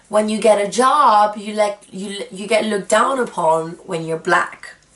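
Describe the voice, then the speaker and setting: The speech moves at a fairly slow pace with ordinary pitch variation and big swings in loudness. Noticeable background noise is present. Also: woman, medium pitch for a woman. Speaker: vlogger. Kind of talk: personal vlog monologue.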